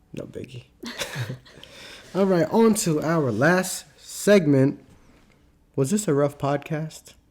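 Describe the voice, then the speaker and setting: Over noticeable background noise, a man talks at a very slow pace with long, frequent pauses. His pitch variation is ordinary, and his loudness swings widely. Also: fairly high pitch for a man. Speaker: nurse practitioner student and podcast host. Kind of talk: casual chat. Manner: halting.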